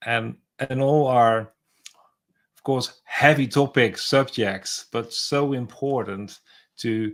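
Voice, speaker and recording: A man at medium pitch speaks at a very slow pace with long, frequent pauses. His intonation is fairly even. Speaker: podcast host. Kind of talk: interview conversation. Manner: halting, repeats words.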